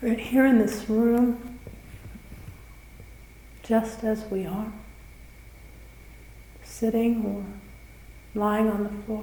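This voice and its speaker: Against noticeable background noise, a woman speaks in a calm tone at a fairly high pitch, flat and monotone. Her pace is very slow, with long, frequent pauses. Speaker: meditation guide. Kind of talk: guided meditation. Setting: live retreat recording in a room. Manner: slow, calm, with long pauses.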